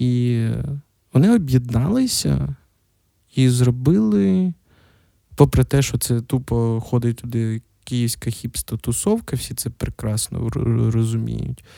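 On a very clean recording with a silent background and a dry, close sound with no echo, a man of medium pitch speaks at a very slow pace with ordinary pitch variation and long, frequent pauses. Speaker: podcast host. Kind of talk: solo casual monologue. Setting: at home.

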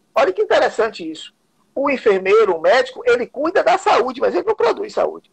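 A man's voice, dry and close, with no echo. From Bahia interior, Vitória da Conquista. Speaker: martial arts grandmaster and council candidate. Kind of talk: interview.

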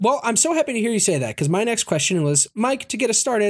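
A man at a very fast pace with very wide pitch swings, in a very clean recording with a silent background. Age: 30s. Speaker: podcast host. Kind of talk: casual chat. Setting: home recording at computer microphone.

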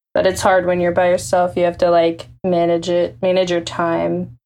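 With a normal speaking voice, a woman talks at a moderate pace and a fairly low pitch, her intonation fairly even, in a very clean recording with a silent background. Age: 20s. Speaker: music video channel co-founder. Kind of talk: casual chat.

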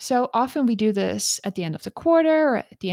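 A woman speaks at a fairly high pitch with lively intonation. The recording is very clean with a silent background and a dry, close sound with no echo. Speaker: career coach, podcast host. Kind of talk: casual solo talk, live-streamed. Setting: live stream on social media. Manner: unscripted, conversational.

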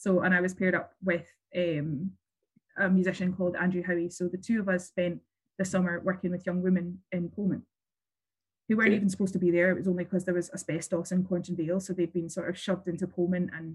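A woman with a Glasgow accent, very fast and flat in a monotone, somewhat breathy. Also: medium pitch for a woman. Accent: Scottish (Glasgow). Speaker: local politician. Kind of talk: interview.

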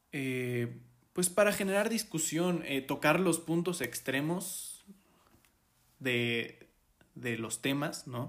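A man with a fairly high pitch and lively intonation speaks at a very slow pace, leaving long, frequent pauses. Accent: Mexican. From Mexico. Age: 20s. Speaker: podcast host. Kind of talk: solo podcast monologue. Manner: hesitant, many filler 'eh'.

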